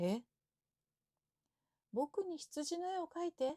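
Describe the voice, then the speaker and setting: Very slow and calm, a woman speaks with a dark, mellow tone in a dry, close sound with no echo. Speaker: Japanese teacher. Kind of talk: sleep story. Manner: calm, slow, natural.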